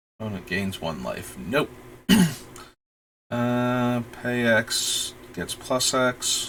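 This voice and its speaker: A man speaks at a very slow pace with ordinary pitch variation. He leaves long, frequent pauses. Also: medium pitch for a man. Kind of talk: casual livestream talk.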